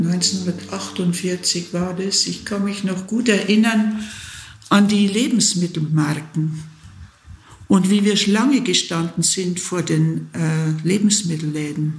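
A woman talks very slowly, her voice carrying audible room echo amid noticeable background noise. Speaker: nun. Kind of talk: interview.

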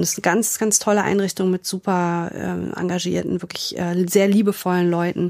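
Monotone, flat speech from a woman at a fairly low pitch and moderate pace, in a very clean recording with a silent background. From Germany, Frankfurt area. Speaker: grief counselor, former model and actress. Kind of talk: interview conversation.

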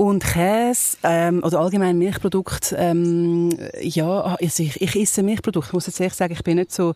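A woman speaks at a moderate pace in a fairly low, dark and mellow voice, recorded very cleanly against a silent background. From Zurich, Switzerland. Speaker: podcast host, former radio presenter. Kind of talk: casual chat.

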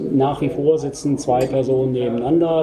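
Through noticeable background noise, a man speaks at a medium pitch with monotone, flat intonation. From Germany, Rosenthal (Hesse). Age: 50s. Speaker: company managing director. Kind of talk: interview. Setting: on-site visit at company premises.

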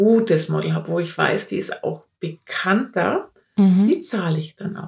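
A woman talks at a fairly slow pace with lively intonation. Her medium-pitched voice is somewhat breathy. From Upper Franconia, Germany. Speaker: portrait photographer. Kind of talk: interview.

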